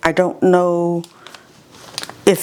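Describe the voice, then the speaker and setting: Against noticeable background noise, a woman with an American accent talks in an animated tone. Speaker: home gardening video host. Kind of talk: casual tutorial. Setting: indoor seed room, windows open. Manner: chatty, animated.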